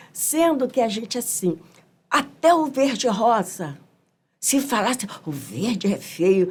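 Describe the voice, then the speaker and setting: In a Rio de Janeiro accent, a woman speaks very slowly at a fairly high pitch, with very wide pitch swings. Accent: Rio de Janeiro carioca Portuguese. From Brazil, Rio de Janeiro (Mangueira). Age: 70s. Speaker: samba school elder musician. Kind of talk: podcast interview. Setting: studio.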